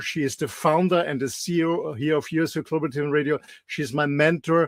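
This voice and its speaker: A man with an Austrian accent speaks fairly quickly at a fairly high pitch. The recording is very clean, with a silent background. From Austria, mountains. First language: German. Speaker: health show co-host. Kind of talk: casual interview chat. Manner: halting, many repeats and fillers.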